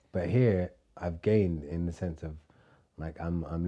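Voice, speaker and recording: A man with a London accent speaks at a very deep, low pitch. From London, UK (born in Somalia). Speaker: chef. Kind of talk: casual interview.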